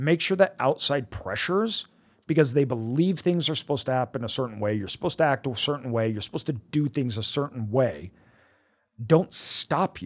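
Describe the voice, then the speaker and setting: A medium-pitched man with an American accent, fairly quick and animated, with lively intonation, in a very clean recording with a silent background. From United States. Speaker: podcast host and business owner. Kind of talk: solo monologue. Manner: excitable, animated; filler-heavy, with ums and uhs.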